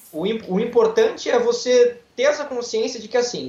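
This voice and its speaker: This man's voice sits at an extremely high pitch. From Brazil, Santos (São Paulo coast). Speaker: lawyer and guitar student. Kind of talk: interview.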